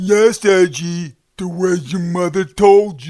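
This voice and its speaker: In a cartoonish character voice, a man speaks at a high pitch and a fairly slow pace. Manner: blunt, crude.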